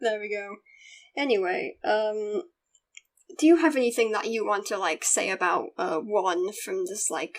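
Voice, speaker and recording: Lively intonation from a woman at a medium pitch, with a fairly slow pace. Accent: British. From Britain. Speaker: YouTube interviewer. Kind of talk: casual interview chat.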